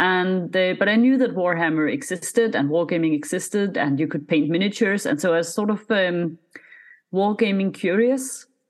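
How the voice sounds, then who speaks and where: Lively intonation carries speech delivered at a moderate speed. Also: woman, medium pitch for a woman. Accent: Scandinavian. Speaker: miniature painter and content creator. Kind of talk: casual interview chat.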